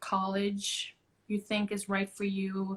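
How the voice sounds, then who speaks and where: A woman of medium pitch talks at a very slow pace. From Trinidad and Tobago. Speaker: actor and singer. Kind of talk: casual interview. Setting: Instagram live stream. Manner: loud.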